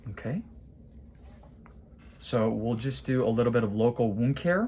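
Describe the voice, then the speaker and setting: With light background noise, a man speaks at a fairly slow pace in a dark, mellow, medium-pitched voice with ordinary pitch variation. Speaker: podiatrist. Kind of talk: clinical procedure demonstration. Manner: loud; animated. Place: office. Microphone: phone near.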